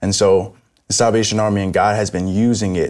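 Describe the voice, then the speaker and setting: Fairly low in pitch, a man talks in an ordinary speaking voice with fairly even intonation. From New York City. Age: young. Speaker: Salvation Army officer. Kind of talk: religious discussion.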